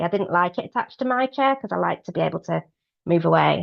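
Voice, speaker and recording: With a British accent, a woman talks. She keeps a fairly quick pace. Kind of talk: webinar talk. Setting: online webinar. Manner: fast; hesitant, many fillers.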